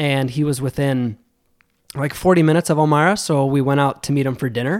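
This very clean recording with a silent background captures a man with a normal speaking voice and an American accent, speaking at a fairly quick pace with medium pitch and fairly even intonation. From western New York (Buffalo area). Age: 20s. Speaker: insurance sales executive. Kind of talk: casual interview chat. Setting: studio.

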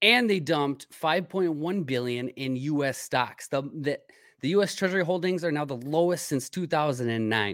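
A man with an unremarkable speaking voice talks at a moderate pace, fairly high in pitch with lively intonation. The recording is very clean, the background silent. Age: 30s. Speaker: podcast host. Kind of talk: casual chat; sales pitch.

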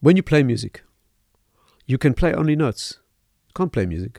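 Recorded very cleanly with a silent background and a dry, close sound with no echo, a man talks fairly quickly at medium pitch, his dark, mellow tone carrying vocal fry and lively intonation. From South Africa, Johannesburg. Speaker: rabbi and lecturer. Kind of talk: lecture-style interview answers. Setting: studio.

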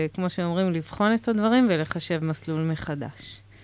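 Fairly low in pitch, a woman talks at a very slow pace with ordinary pitch variation. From Israel, Haredi community. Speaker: social entrepreneur. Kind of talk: radio interview. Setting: radio studio, wearing masks. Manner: halting.

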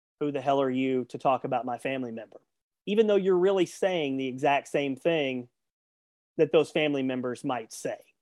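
A man with a Southern US accent speaks at a fairly high pitch. His loudness swings widely, and the sound is dry and close with no echo. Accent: Southern US drawl. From US South. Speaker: sports journalist and radio host. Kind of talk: interview.

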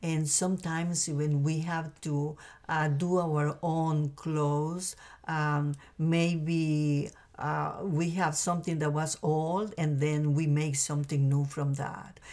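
A woman with a Spanish accent speaks at a very slow pace in a very deep, low pitch and a dark, mellow tone. Her intonation is monotone and flat, and the recording is very clean with a silent background. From Costa Rica. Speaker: mother of the host. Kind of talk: testimony. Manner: halting.

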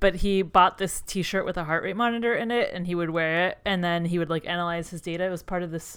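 A woman's normal speaking voice, fairly low in pitch, at a fairly quick pace. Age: 30s. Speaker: psychology professor and podcast co-host. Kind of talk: casual chat. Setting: video call.

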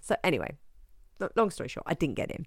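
A woman with an English accent on a very clean recording with a silent background. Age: 40s. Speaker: yoga teacher and podcast host. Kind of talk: casual solo podcast talk.

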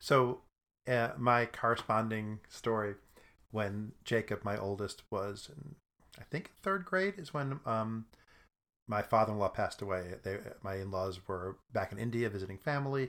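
Heard against a silent background in a very clean recording, a man talks at a moderate pace. He has a normal speaking voice, medium in pitch, with ordinary pitch variation. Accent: American. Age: 50s. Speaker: improv comedian. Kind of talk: casual chat.

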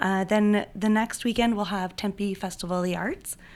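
Here a woman with an unremarkable speaking voice talks at a moderate pace and medium pitch, with fairly even intonation. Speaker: events director. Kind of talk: casual interview.

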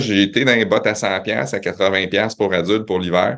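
Against a quiet background, a man with an unremarkable speaking voice talks at a fairly low pitch with ordinary pitch variation. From Quebec City, Québec. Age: 40s. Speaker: retail company president. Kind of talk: interview.

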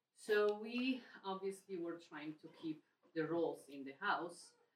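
The speaker has a Polish accent. The intonation is lively. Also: woman. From Poland. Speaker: parish member and mother. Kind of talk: personal testimony in group meeting.

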